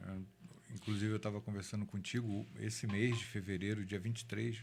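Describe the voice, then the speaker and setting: A man speaks in an ordinary speaking voice, pitched fairly low. His intonation stays fairly even. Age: 60s. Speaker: city councillor. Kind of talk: interview testimony.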